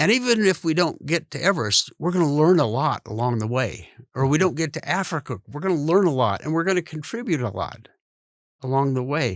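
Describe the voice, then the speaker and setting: On a very clean recording with a silent background, a man with a western US accent talks at a fairly quick pace, his fairly high pitch swinging very widely. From Idaho, US. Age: 70s. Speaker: podcast host. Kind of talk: interview conversation.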